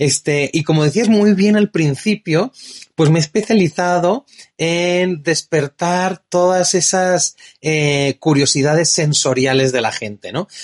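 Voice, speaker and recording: In a Spanish accent, a man speaks very slowly at a high pitch, with ordinary pitch variation. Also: dry, close sound with no echo. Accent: Spanish (Spain). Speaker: wine distributor and tasting host. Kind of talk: casual interview. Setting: in-person studio chat. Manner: animated.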